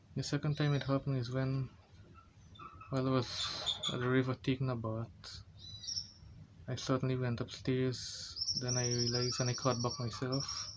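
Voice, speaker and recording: Over noticeable background noise, a man speaks at medium pitch in a flat monotone, with long, frequent pauses. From Guyana. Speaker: person living with epilepsy. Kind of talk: personal story told to camera. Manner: slow speech.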